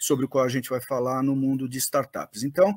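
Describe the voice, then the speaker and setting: A man at a moderate pace, in a dry, close sound with no echo, on a very clean recording with a silent background. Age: 60s. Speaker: M&A advisor and startup investor. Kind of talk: interview. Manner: hesitant, many fillers.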